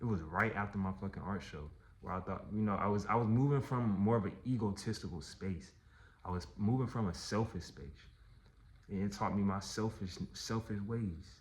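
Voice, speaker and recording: Somewhat breathy, a man speaks at a moderate pace with fairly low pitch and ordinary pitch variation. There is audible room echo. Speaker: artist and vlogger. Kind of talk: personal storytelling vlog.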